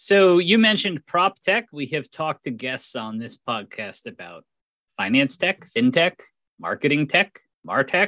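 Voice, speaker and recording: Dry and close with no echo on a very clean recording with a silent background, a man with a fairly high voice and vocal fry talks at a fairly slow pace, his pitch swinging very widely. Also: big swings in loudness. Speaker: podcast host. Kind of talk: interview.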